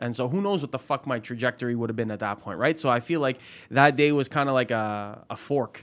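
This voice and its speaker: A man with an ordinary speaking voice talks at a medium pitch and a fairly quick pace, with ordinary pitch variation. The recording is very clean, with a silent background. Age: 20s. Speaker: former comedian, paralegal student. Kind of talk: casual chat.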